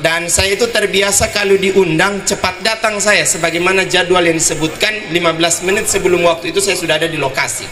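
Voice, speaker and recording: In a room with audible echo and noticeable background noise, a man uses a raised, projected voice, high in pitch, talking at a very fast pace with fairly even intonation. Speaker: preacher. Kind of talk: sermon.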